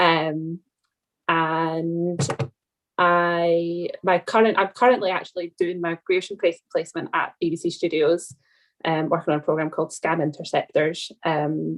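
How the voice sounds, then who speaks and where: The voice carries a Scottish accent with fairly even intonation. The background is quiet. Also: woman, fairly low pitch for a woman, fairly slow pace. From Scotland. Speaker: documentary TV researcher, training alumna. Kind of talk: video call panel Q&A.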